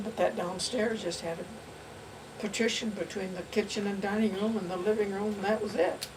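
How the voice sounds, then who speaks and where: Noticeable noise runs behind this woman. Her voice is medium in pitch. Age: 80s+. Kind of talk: interview answer.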